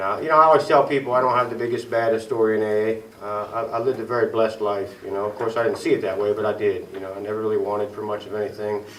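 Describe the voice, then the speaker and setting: A man with an Ohio accent talks at a very fast pace, his medium pitch carrying fairly even intonation. Audible room echo and noticeable background noise are in the recording. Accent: Midwestern US (Ohio). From Ohio, Tuscarawas County. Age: 40s. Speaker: recovering alcoholic speaker. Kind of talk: recovery meeting testimony. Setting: small meeting room with audience. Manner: casual, halting with fillers.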